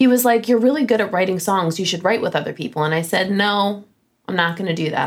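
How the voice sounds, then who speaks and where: A woman's very fast speech with an American accent, lively intonation and vocal fry. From Flint, Michigan, US. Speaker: songwriter and recording artist. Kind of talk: interview.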